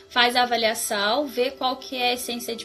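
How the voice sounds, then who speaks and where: Music sounds in the background. A woman's voice comes through over it. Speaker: floral therapy practitioner. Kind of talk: live stream talk.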